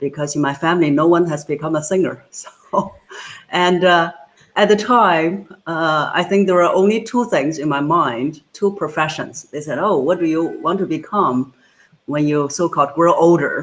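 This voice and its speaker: Ordinary pitch variation and a moderate pace, in a Chinese accent. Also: woman, fairly low pitch for a woman. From China. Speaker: voice coach. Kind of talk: interview.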